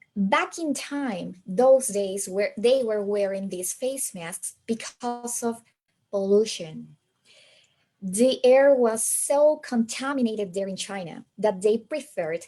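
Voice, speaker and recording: A woman speaks very slowly in a dark, mellow tone at a medium pitch, with lively intonation. She has a slight American accent. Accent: slight American-like, non-native. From Peru. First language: Spanish. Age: 40s. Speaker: English teacher trainer. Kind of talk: webinar presentation. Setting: online webinar on a borrowed laptop.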